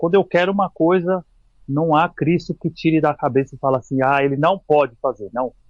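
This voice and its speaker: A man talks at a moderate pace with ordinary pitch variation. He has a normal speaking voice. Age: 40s. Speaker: physical educator and mountaineer. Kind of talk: casual chat. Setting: podcast interview.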